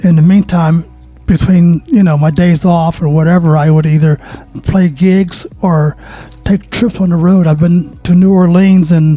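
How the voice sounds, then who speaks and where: A man's high voice with an American accent, fairly even intonation and a fairly slow pace, over noticeable background noise. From Pittsburgh, Pennsylvania. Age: 70s. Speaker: saxophone player. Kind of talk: interview.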